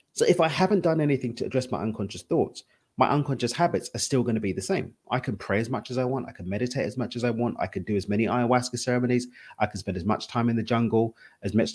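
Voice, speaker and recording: A man in an East London accent, medium pitch, very fast pace and ordinary pitch variation. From East London, England. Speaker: spiritual and wealth coach. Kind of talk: interview conversation.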